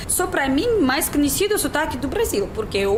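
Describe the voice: Amid noticeable background noise, a woman with a Russian accent speaks in a high voice with very wide pitch swings.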